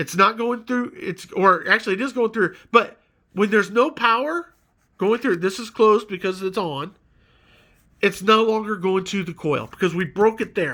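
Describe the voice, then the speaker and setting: In a very clean recording with a silent background, a man with a high pitch speaks in a raised, projected voice, with lively intonation and a bright, sharp tone. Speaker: electrical tutorial maker. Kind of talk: tutorial. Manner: casual.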